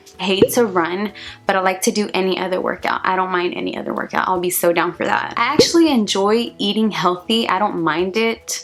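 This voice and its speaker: With music in the background, a woman of medium pitch talks at a fairly quick pace with ordinary pitch variation and hardly any pauses. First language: Spanish. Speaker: vlogger. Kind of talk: casual vlog monologue.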